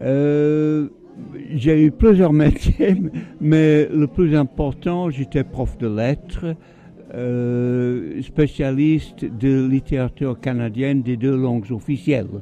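A man talks slowly at a medium pitch with ordinary pitch variation. His tone is dark and mellow.

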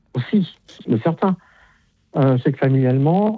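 A man's fairly high voice with ordinary pitch variation

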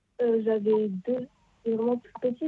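Fairly slow and fairly even in intonation, a woman speaks with a fairly high pitch. Her voice carries a slightly husky edge.

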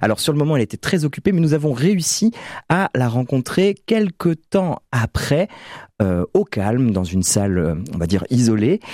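With big pitch swings and a slightly mellow tone, a man is heard in a dry, close sound with no echo on a very clean recording with a silent background. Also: medium pitch for a man, moderate pace.

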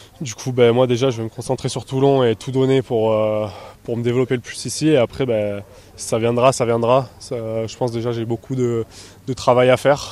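A man speaks at a medium pitch with a slightly mellow tone. His pitch moves very little.

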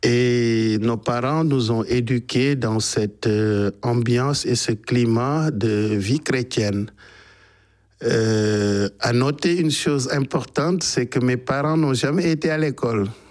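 A man's medium-pitched, slightly mellow voice, slow in pace with ordinary pitch variation

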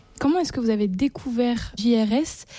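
A woman with a dark, mellow tone and fairly high pitch, at a moderate pace with ordinary pitch variation.

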